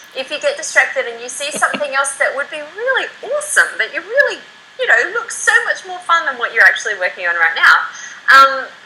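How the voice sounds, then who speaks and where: An animated woman at a fairly quick pace, her loudness swinging widely against noticeable background noise. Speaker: internet marketer. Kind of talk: interview. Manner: fast.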